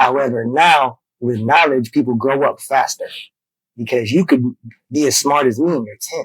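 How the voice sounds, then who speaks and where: Here a man with an ordinary speaking voice talks at a medium pitch and a moderate pace with fairly even intonation. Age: 30s. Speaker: podcast guest. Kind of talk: casual chat.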